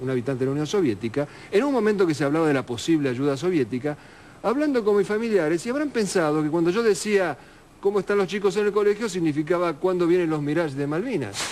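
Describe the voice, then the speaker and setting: A man speaks at a very fast pace with a fairly high pitch. His pitch swings very widely. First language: Russian (speaking Spanish). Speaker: war correspondent. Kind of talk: interview.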